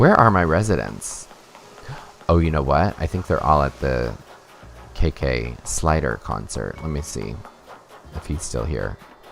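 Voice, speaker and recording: A man's very deep, low voice with lively intonation, a fairly slow pace and long, frequent pauses, music in the background. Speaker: streamer. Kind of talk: live stream gameplay chat.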